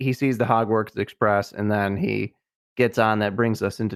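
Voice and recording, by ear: The clip is reading aloud in a natural voice with fairly even intonation. The background is quiet.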